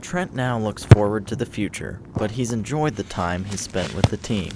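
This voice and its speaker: A man talks with typical pitch movement while clear background noise sits behind him. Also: fairly low pitch for a man, moderate pace. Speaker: student news and sports anchor. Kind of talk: news package voiceover.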